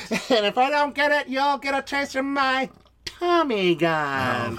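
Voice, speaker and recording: A put-on character voice, high-pitched and at a fairly slow pace. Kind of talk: old-time mobster talk. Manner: threatening, tough-guy.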